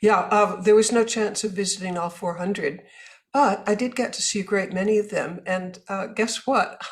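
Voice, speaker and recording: At a moderate pace, a woman's medium-pitched, somewhat breathy voice keeps a fairly even intonation. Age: 80s+. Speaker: author and businesswoman. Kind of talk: interview.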